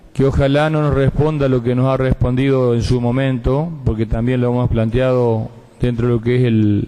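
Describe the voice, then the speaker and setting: Speaking at a moderate pace with a medium pitch, a man keeps fairly even intonation, very even loudness and a dark, mellow tone. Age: 50s. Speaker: provincial senator. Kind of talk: legislative floor speech. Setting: senate chamber session.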